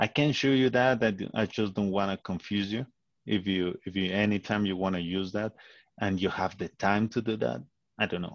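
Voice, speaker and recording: A man talks at a moderate pace with a non-native accent and a fairly low pitch. His pitch varies in an ordinary way, and the sound is dry and close with no echo. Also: quiet background. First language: not English. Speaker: animation tutor. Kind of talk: tutorial on a call. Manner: halting, many repetitions.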